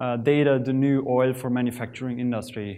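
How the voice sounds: A man talks at a fairly slow pace. His tone is slightly mellow.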